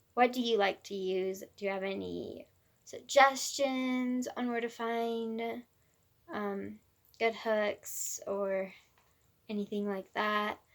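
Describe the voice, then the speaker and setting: A woman with a fairly high pitch speaks at a very slow pace, leaving long, frequent pauses. Her intonation is fairly even. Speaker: crochet vlogger. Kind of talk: casual vlog chat. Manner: halting, stumbling over words.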